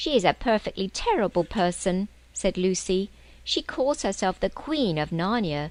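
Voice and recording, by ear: A passage is read aloud in a natural voice. Its pitch rises and falls in a lively way.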